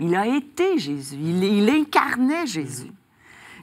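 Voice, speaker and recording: A woman with a strong Quebec accent talks with lively intonation. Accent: strong Québécois French. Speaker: author, recovered addict giving testimony; interview guest. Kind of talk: faith testimony interview. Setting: TV studio. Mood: warm, emotional personal testimony. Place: studio. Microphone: lapel.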